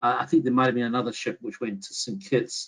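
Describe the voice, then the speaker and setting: A man talks with an American accent. His medium pitch shows ordinary variation. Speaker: history professor. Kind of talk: academic webinar talk. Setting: online webinar. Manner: halting, with frequent self-corrections.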